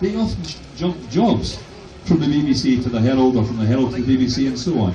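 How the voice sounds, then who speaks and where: Talking very fast with very wide pitch swings, a man in a Glasgow accent is heard with audible room echo and noticeable background noise. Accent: Scottish (Glasgow area). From west of Scotland. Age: 60s. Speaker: professor. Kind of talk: protest speech. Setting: outdoors addressing a crowd. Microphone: phone camera recording.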